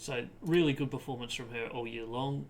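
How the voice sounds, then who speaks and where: A man speaks with an Australian accent at a moderate pace. His pitch is medium, with ordinary variation. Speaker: footy podcast host. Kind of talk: sports analysis podcast. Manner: frequent filler ums.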